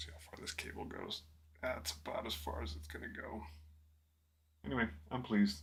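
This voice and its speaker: A man with a very deep, low voice talks at a moderate pace, somewhat breathy and relaxed in tone, with lively intonation. Long, frequent pauses and big swings in loudness come through amid audible room echo. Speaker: miniature painting streamer. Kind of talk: casual livestream tutorial. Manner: relaxed, chatty.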